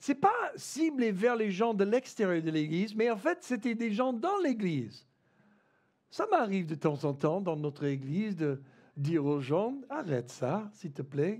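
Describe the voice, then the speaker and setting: Speaking with an American accent at a fairly slow pace, a man uses a high pitch and very wide pitch swings. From United States. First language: English (speaking French). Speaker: pastor. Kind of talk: sermon. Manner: halting, many fillers and repetitions.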